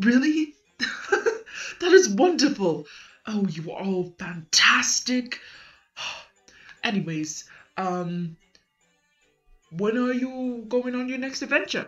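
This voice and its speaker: A woman's put-on character voice, high-pitched and fairly slow, with long, frequent pauses and faint music in the background. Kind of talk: improvised character performance. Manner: cheerful, upbeat.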